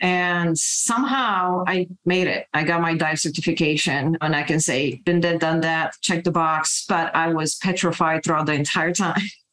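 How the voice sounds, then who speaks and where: A woman with a Romanian accent speaks at a moderate pace with hardly any pauses, very even loudness and ordinary pitch variation. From Romania, Bucharest. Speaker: cybersecurity executive. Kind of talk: interview.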